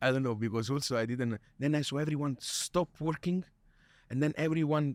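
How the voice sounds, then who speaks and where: With a Neapolitan accent and ordinary pitch variation, the voice sounds dry and close with no echo on a very clean recording with a silent background. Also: man. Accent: Neapolitan Italian accent in English. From Italy, Naples. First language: Italian. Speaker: chef. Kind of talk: interview. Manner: halting.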